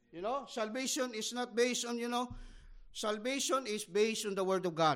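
Delivery is at a moderate pace with a Filipino accent and ordinary pitch variation. The recording is very clean, with a silent background. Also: man. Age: 50s. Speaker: missionary pastor. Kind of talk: sermon. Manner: halting.

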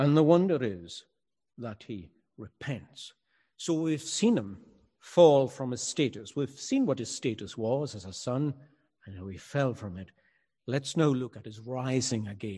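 Speaking with a Highland Scottish accent, a man has a medium pitch, a dark, mellow tone and lively intonation over a quiet background. He goes at a fairly slow pace with long, frequent pauses and big swings in loudness. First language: Scottish Gaelic. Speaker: pastor. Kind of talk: sermon. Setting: church, also streamed online.

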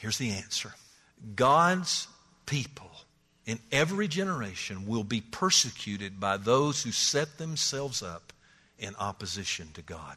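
Against a quiet background, the speaker moves at a fairly slow pace with long, frequent pauses, using a bright, sharp tone, big swings in loudness and very wide pitch swings. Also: man. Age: 60s. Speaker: pastor. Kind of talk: sermon.

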